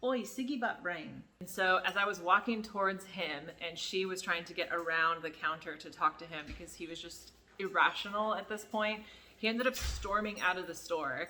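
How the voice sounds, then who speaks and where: In a plain, everyday voice, a woman with an American accent speaks at a moderate pace and medium pitch. Her pitch varies in an ordinary way, while her loudness swings widely. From United States. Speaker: YouTuber, former adult store worker. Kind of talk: story time. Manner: casual, filler-heavy.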